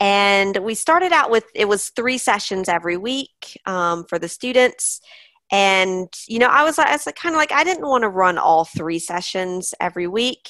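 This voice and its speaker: The voice has a bright, sharp tone and an American accent, with very wide pitch swings. The background is quiet. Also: woman, medium pitch for a woman, moderate pace, dry, close sound with no echo. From US. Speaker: online English teacher and business owner. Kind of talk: interview.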